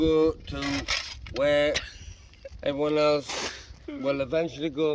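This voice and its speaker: Amid noticeable background noise, a man with a Geordie accent speaks at a very slow pace and a fairly high pitch, his intonation monotone and flat, with long, frequent pauses. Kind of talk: mock eulogy. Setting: outdoors.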